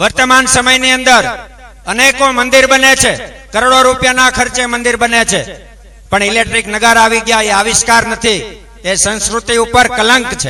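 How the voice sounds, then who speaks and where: A man's raised, projected voice at an extremely high pitch, monotone and flat, amid noticeable background noise. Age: young. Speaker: religious speaker, ascetic. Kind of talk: religious discourse. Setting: religious gathering with audience.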